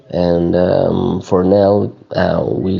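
Through noticeable background noise, a man is heard talking in a very deep, low voice. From Syria. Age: young. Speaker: refugee. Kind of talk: casual chat. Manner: halting.

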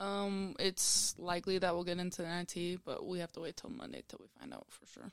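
In a plain, everyday voice, a woman with an American accent and a fairly low pitch talks at a fairly quick pace with hardly any pauses, fairly even intonation and big swings in loudness. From Utah. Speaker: college basketball player. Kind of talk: casual interview.

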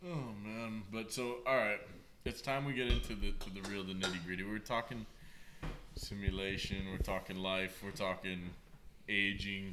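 Audible room echo surrounds a man whose fairly low voice has a bright, sharp tone, ordinary pitch variation and a moderate pace. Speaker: podcast host. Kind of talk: casual chat. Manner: animated.

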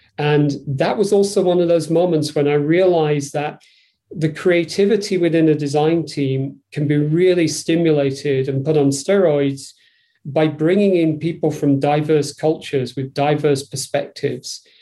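In a Yorkshire accent, a man speaks with a dark, mellow tone and fairly even intonation. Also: fairly high pitch for a man, moderate pace. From northern England, Yorkshire. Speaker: design executive. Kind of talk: interview.

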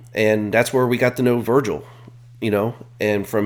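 Using a normal speaking voice, a man with an American accent talks at a fairly quick pace, at medium pitch and with fairly even intonation. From Central Ohio (Columbus suburbs). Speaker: retired National Guard soldier. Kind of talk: casual interview.

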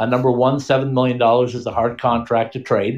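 A man with a medium pitch speaks fairly quickly. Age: 50s. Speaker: hockey podcast host. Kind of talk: casual chat. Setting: live online stream with call-ins.

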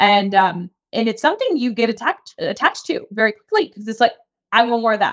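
Someone speaks in a normal speaking voice with an American accent. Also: woman, fairly high pitch for a woman, fairly quick pace. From Key West, Florida. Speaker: fitness coach and former marathoner. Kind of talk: casual conversational interview.

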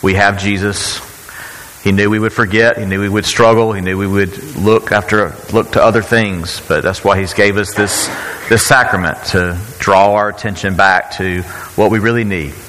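A man's fairly low voice at a moderate pace, with fairly even intonation and noticeable background noise. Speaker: church leader. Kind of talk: church service announcement. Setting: church.

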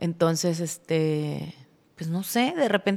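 Speaking at a fairly slow pace, a woman with a Mexican accent uses a fairly low pitch and lively intonation. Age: 40s. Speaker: pet food entrepreneur. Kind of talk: casual interview chat.

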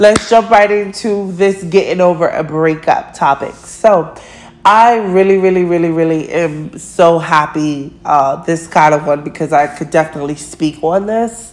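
Her tone animated, a woman with a fairly low pitch speaks at a moderate pace with ordinary pitch variation, and noticeable background noise can be heard. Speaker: podcast host. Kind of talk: casual monologue.

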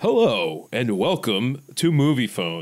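A man performs a put-on character voice at a medium pitch. He moves at a fairly slow pace with very wide pitch swings. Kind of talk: polished announcer diction.

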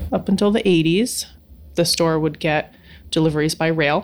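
A woman speaks with a very deep, low voice, adding vocal fry and ordinary pitch variation at a moderate pace. The recording is very clean, with a silent background. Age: 40s. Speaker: hardware store owner. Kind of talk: interview.

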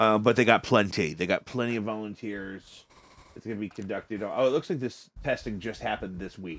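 A man with an ordinary speaking voice talks fairly quickly in a fairly low pitch with ordinary pitch variation. His loudness swings widely. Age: 30s. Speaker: podcast host. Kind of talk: casual chat. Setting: home studio, livestream.

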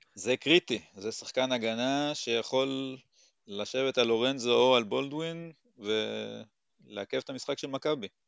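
A man with a plain, everyday voice speaks at a fairly slow pace and medium pitch with ordinary pitch variation, recorded with a dry, close sound, no echo and a quiet background. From Israel, moshav in the south. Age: 40s. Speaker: basketball fan. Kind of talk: casual chat.

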